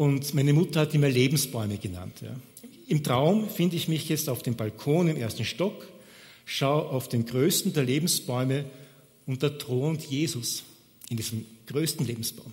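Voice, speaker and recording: This man's voice sits fairly high and is somewhat breathy, moving at a moderate pace with ordinary pitch variation. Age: 60s. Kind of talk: sermon.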